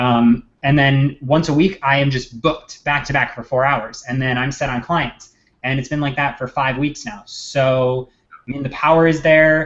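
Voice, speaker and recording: A man talks with a fairly high pitch and fairly even intonation. He keeps a moderate pace. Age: 20s. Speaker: social media marketer. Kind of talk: casual chat. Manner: loud.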